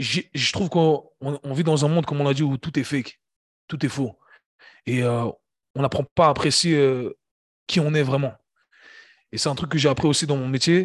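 A man's voice at a moderate pace with fairly even intonation and long, frequent pauses, dry and close with no echo, against a quiet background. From Switzerland, Geneva. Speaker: fitness coach and entrepreneur. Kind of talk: casual interview conversation. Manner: halting, many repetitions.

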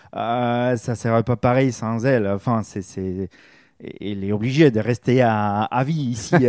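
A man's medium-pitched voice at a fairly slow pace, with ordinary pitch variation, dry, close sound with no echo, and a very clean recording on a silent background. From Spain. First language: Spanish (speaking French). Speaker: campsite receptionist. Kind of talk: radio interview. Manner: halting.

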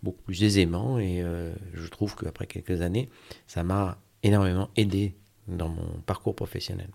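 This man has a very deep, low voice with a dark, mellow tone. His intonation stays fairly even. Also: very clean recording, silent background. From Brittany, Brest. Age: 50s. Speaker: finance director. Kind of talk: interview testimony. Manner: halting.

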